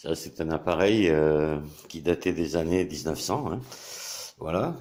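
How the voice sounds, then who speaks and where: A man's very deep, low voice, very slow pace, fairly even intonation. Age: 60s. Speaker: YouTuber and hobbyist maker. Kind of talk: tutorial. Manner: hesitant, many fillers.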